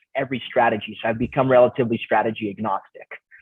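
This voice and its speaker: A man speaks in an unremarkable speaking voice. Fairly even intonation marks his medium pitch. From Canada, Romanian immigrant family. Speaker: real estate investor, coach, motivational speaker. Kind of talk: podcast interview.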